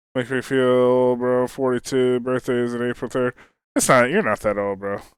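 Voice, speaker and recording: Using a normal speaking voice, a man talks at a moderate pace and medium pitch. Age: 40s. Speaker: video game streamer. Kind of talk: casual live-stream chat while gaming.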